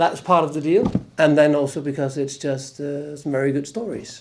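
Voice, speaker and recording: With a Danish accent, a man talks at a fairly high pitch. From Denmark. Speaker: actor. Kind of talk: interview. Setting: convention panel. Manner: halting.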